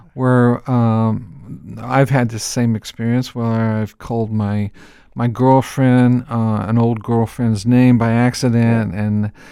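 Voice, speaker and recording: With an American accent, a man speaks very slowly at a medium pitch in a dark, mellow tone. His intonation is monotone and flat, and the recording is very clean with a silent background. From United States. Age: 60s. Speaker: podcast host. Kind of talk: casual interview chat.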